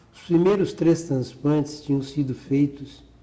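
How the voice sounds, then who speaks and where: A man's somewhat breathy voice has a dark, mellow tone. He speaks very slowly with fairly even intonation. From Porto Alegre, Rio Grande do Sul, Brazil. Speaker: cardiac surgeon. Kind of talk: oral history interview answer.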